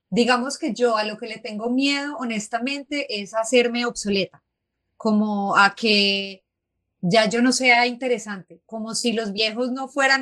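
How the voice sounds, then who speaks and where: Speaking at a fairly slow pace, a woman with a fairly high, bright, sharp voice shows ordinary pitch variation and big swings in loudness. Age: 30s. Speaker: feminist writer and podcaster. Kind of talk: casual conversation. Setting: live show with audience.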